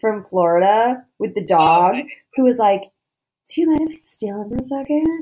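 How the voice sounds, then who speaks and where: A woman's fairly high-pitched, plain, everyday voice with an American accent. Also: very clean recording, silent background. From Boston. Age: 30s. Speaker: podcast host. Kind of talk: casual chat.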